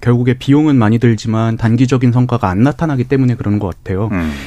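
A man talks at a very fast pace in a medium pitch. His tone is dark and mellow. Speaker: youth political group leader. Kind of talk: radio panel debate. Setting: radio studio.

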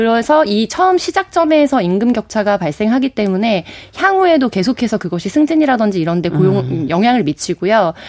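A woman talks at a fairly quick pace with hardly any pauses, in a fairly high pitch with very wide pitch swings. The sound is dry and close with no echo. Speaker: political commentator. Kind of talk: radio panel discussion. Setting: studio.

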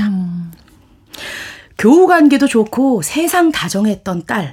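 A woman's fairly high voice, very slow, with very wide pitch swings. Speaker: book reviewer. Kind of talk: radio talk show, reading aloud. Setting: studio.

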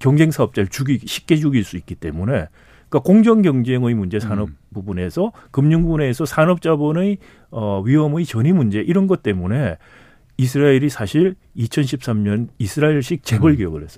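In a very clean recording with a silent background, a man with a dark, mellow tone and medium pitch talks at a moderate pace with very wide pitch swings. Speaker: economics professor. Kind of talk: interview.

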